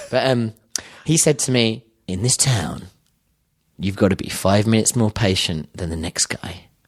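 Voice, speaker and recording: A fairly low-pitched man with a British accent, lively intonation, and long, frequent pauses. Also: moderate pace. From London, England. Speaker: filmmaker. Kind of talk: casual chat.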